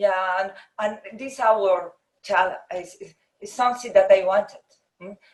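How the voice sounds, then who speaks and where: A woman with a Spanish accent speaks at a medium pitch and a fairly slow pace, using fairly even intonation. Her loudness swings widely, and she takes long, frequent pauses. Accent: Spanish accent, non-native English. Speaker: architect. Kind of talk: interview conversation. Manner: halting, hesitant.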